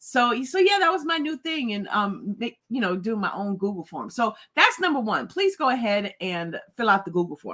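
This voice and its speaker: Animated and bright, sharp in tone, a woman speaks at a moderate pace with a fairly high pitch and very wide pitch swings. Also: hardly any pauses. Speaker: livestream host. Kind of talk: casual livestream chat.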